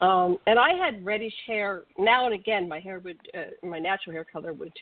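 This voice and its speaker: A woman talks at a moderate pace in a normal speaking voice. Her pitch sits in the medium range. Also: ordinary pitch variation, big swings in loudness. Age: 60s. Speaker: radio co-host. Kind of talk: casual chat; reading aloud.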